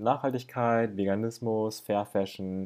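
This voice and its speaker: Against a quiet background, a man talks in a monotone, flat intonation, his fairly low voice dark and mellow in tone. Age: 20s. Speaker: YouTuber, guest. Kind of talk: casual chat.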